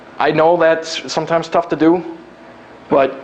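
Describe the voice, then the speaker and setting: A man with a fairly high pitch talks while noticeable background noise is present. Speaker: recruitment specialist and workshop speaker. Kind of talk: live workshop talk. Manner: fast; casual, down to earth.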